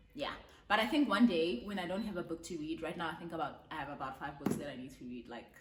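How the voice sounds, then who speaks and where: Delivered at a very fast pace, the voice has an animated tone, lively intonation and big swings in loudness, with noticeable background noise and audible room echo. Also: woman, fairly low pitch for a woman. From South Africa. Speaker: book reviewer. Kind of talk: casual vlog book review.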